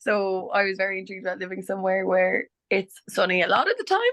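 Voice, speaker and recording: This woman speaks with an Irish accent. Her intonation stays fairly even. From Ireland, County Clare. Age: 20s. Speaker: nurse. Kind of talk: webinar interview.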